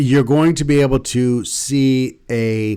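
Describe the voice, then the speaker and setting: The recording is very clean, its background silent. A man talks in a dark, mellow tone. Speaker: political commentator. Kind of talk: opinion monologue. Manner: halting, self-correcting.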